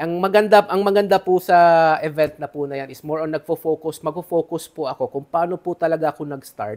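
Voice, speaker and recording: Talking at a very fast pace, a man speaks in a fairly high pitch with ordinary pitch variation and big swings in loudness. The recording is very clean with a silent background, and the sound is dry and close with no echo. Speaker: business mentor. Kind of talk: interview.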